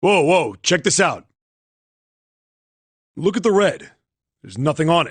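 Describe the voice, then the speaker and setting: A man's high-pitched, cartoonish character voice at a moderate pace, broken by long, frequent pauses. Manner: casual, brash.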